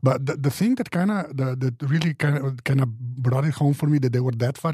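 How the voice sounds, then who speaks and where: Somewhat breathy, a man with a non-native accent and a fairly high pitch speaks at a fairly quick pace. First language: not English. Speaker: podcast panelist. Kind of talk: casual panel discussion. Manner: halting, many restarts.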